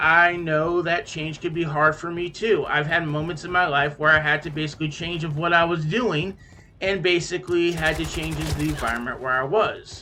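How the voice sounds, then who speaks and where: A man with a high pitch talks at a moderate pace, and audible room echo surrounds him. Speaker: gaming YouTuber. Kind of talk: casual commentary over gameplay. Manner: halting, many filler words.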